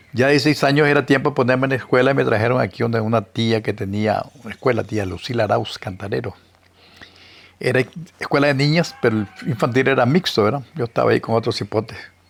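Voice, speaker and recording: Very fast speech with ordinary pitch variation over music in the background. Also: man, medium pitch for a man. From Nicaragua, Matagalpa (northern Nicaragua). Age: 80s+. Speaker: historian and writer. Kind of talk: interview, life story.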